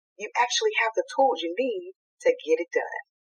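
Music plays in the background behind a woman's voice. She talks at a moderate pace. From US South, Eastern North Carolina. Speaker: nurse and nonprofit founder. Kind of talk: faith-based casual interview. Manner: animated.

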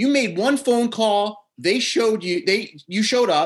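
With a New Jersey accent, a man talks at a fairly slow pace in a high voice. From New Jersey, US Northeast. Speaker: podcast host. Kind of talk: casual chat and interview. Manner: usually loud and hyped, mellow today.

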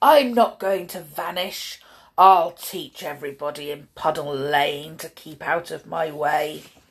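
A put-on character voice growls at a middle pitch. The pace is fairly slow. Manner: growling, vicious.

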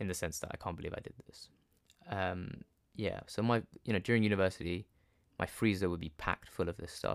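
Speaking at a very fast pace, a man talks. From London, England. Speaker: podcast host, doctor. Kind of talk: personal storytelling monologue. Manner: casual, frequent laughs and fillers.

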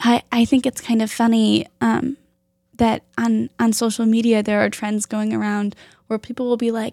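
A plain, everyday voice from a woman with a fairly high pitch, at a moderate pace, with a dry, close sound with no echo on a very clean recording with a silent background. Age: 20s. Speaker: podcast host. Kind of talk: casual chat. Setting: birthing center.

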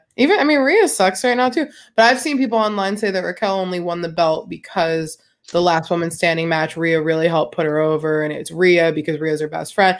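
On a very clean recording with a silent background, a woman with a plain, everyday voice talks at a fairly quick pace, fairly low in pitch with lively intonation. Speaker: podcast co-host. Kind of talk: casual chat about wrestling.

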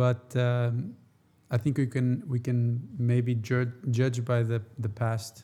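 A man at medium pitch speaks very slowly in a monotone, flat way, somewhat breathy, with a dark, mellow tone and very even loudness. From Portugal. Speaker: podcast co-host. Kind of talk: casual chat.

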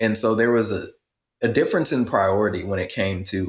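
A man with an American accent and a fairly low, somewhat breathy voice, moderate pace and fairly even intonation, in a very clean recording with a silent background. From rural US Midwest and South. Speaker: podcast co-host. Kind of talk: casual chat.

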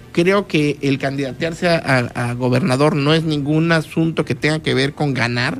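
With music in the background, the speech moves at a moderate pace with ordinary pitch variation. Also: man, fairly high pitch for a man. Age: 40s. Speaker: politician. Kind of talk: radio interview. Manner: halting, with frequent fillers and repetitions.

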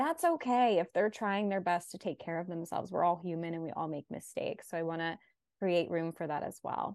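In a quiet background, a woman speaks fairly quickly at a fairly low pitch. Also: ordinary pitch variation. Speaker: dating and relationship therapist, podcast host. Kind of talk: podcast interview conversation.

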